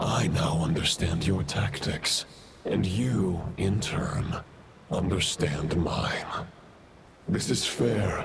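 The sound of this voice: Using a put-on character voice, a man talks slowly at a low pitch with vocal fry, over faint background noise. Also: ordinary pitch variation.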